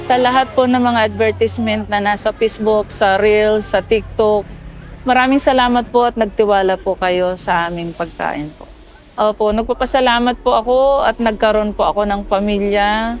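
Faint music plays behind a woman whose intonation is fairly even, in a dry sound with no echo. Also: moderate pace. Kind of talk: interview answer. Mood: grateful, warm. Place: market.

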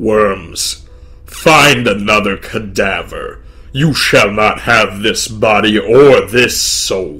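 A raspy put-on character voice from a man at a medium pitch and a very slow pace, over light background noise. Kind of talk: dark fantasy narration. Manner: mocking, scornful; laughing, arrogant.

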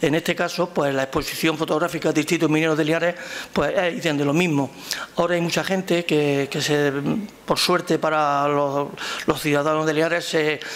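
A man talks with fairly even intonation at a fairly high pitch. His tone is fairly bright, and there is faint background noise.

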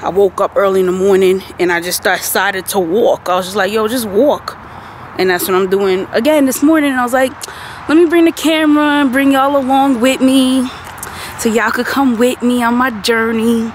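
With lively intonation at a moderate pace, the voice has a dry sound with no echo and light background noise. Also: woman. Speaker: vlogger. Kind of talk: casual vlog chat. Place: street. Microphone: phone near.

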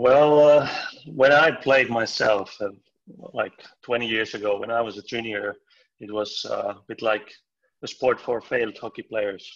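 Fairly even in intonation, a man speaks with long, frequent pauses over a quiet background. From Finland. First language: Finnish. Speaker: floorball coach. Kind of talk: casual chat. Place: home room. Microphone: video call.

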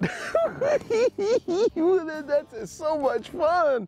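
This is a put-on character voice at an extremely high pitch. It breaks into cackling.

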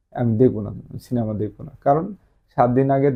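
An ordinary speaking voice with ordinary pitch variation. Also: man. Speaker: police promotion exam tutor. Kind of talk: lecture.

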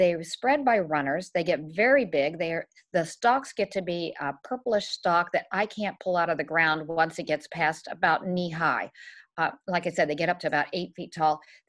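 Over a quiet background, a woman uses an ordinary speaking voice, fairly low in pitch with ordinary pitch variation, at a moderate pace. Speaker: presenter. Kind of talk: lecture. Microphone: webcam.

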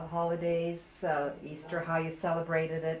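With light background noise and audible room echo, a woman talks at a fairly low pitch. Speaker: oral history interviewer. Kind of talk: oral history interview. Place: home room. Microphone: old recording.

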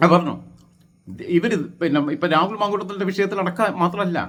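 This man's voice sits at a high pitch. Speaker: YouTube political commentator. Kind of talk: opinion monologue. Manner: halting, with fillers.

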